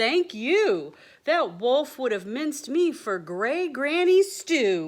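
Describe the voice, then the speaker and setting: A put-on character voice, female-sounding and high in pitch with very wide pitch swings, at a very slow pace on a very clean recording with a silent background. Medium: read story.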